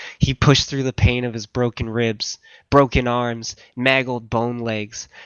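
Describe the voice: What you hear is plain reading aloud.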